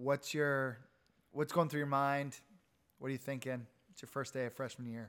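Recorded very cleanly with a silent background, a man talks at a moderate pace in a medium pitch. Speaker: alumni podcast host. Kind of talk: casual interview. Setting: guest's home.

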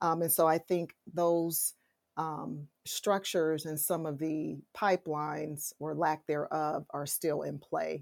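On a very clean recording with a silent background and a dry, close sound with no echo, a woman with an American accent speaks at a very slow pace in a very deep, low pitch with monotone, flat intonation. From Detroit, Michigan. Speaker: kinesiology professor. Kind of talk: interview.

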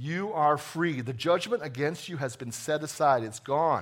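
A man with an American accent talks at a fairly slow pace in a normal speaking voice, pitched fairly high. Pitch variation is ordinary, and the recording is very clean with a silent background. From New Jersey. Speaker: executive pastor. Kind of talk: sermon. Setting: church.

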